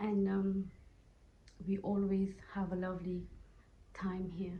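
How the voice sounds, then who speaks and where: The voice is dark, mellow and somewhat breathy, with monotone, flat intonation. It moves at a fairly slow pace amid audible room echo. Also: woman. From Mauritius. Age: 30s. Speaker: asylum seeker resident at a shelter. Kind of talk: interview testimony. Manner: halting, non-fluent English.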